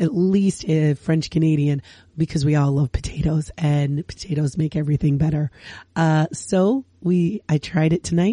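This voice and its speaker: A woman's very deep, low voice, somewhat breathy, with ordinary pitch variation. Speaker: podcast host. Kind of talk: casual chat.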